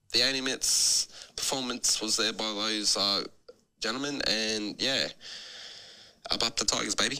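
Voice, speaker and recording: A man with a slight New Zealand accent speaks in a bright, sharp tone at a medium pitch and a moderate pace. His intonation is fairly even, and he leaves long, frequent pauses. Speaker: fan sending a voice note. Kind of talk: voice note message. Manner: halting with many fillers.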